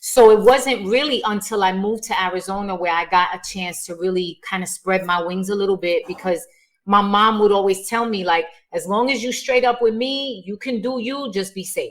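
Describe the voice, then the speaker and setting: A woman with a New York accent speaks at a moderate pace, her medium pitch showing ordinary variation. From New York, South Bronx. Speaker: performer and writer. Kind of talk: podcast interview.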